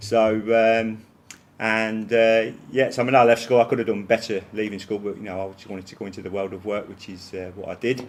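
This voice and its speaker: In a Leicester accent, a man with a fairly low pitch speaks at a fairly quick pace, his intonation monotone and flat while his loudness swings widely. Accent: Leicester accent, noticeable. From English East Midlands, Leicester. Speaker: college principal. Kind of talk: interview. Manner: many fillers and repetitions.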